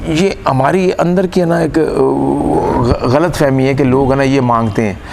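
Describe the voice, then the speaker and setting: A man speaks at very even loudness amid audible room echo and noticeable background noise. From Pakistan, Punjab. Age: 60s. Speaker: stage comedian and actor. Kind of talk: interview. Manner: animated.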